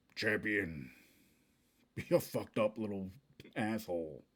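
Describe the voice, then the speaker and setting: A man speaks in a put-on character voice. His pitch sits fairly low. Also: moderate pace. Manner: booming, insulting.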